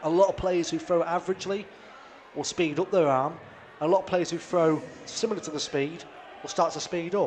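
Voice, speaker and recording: Noticeable background noise surrounds a man with a North East England accent. He talks at a high pitch and moderate pace with ordinary pitch variation. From North East England, Darlington. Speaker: darts commentator. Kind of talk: live commentary. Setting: live stream of darts match.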